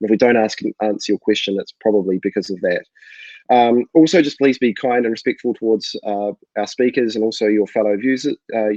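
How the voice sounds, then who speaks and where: In a New Zealand accent, the speaker talks at a fairly quick pace with a dark, mellow tone and ordinary pitch variation, heard dry and close with no echo over a quiet background. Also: man, medium pitch for a man. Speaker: co-founder and webinar host. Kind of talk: live webinar introduction. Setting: live online webinar.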